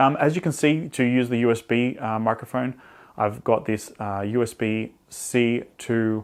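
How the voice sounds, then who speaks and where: A man with an Australian accent speaks with fairly even intonation. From Australia, Sydney. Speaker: photographer and tech reviewer. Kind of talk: tutorial. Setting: outdoors. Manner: loud.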